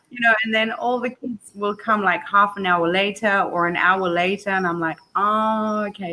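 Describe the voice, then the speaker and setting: Delivered at a moderate pace with hardly any pauses, the bright, sharp voice has ordinary pitch variation. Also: woman. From Botswana, with yearly stays in Spain and England. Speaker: online English tutor. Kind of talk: casual chat. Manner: animated.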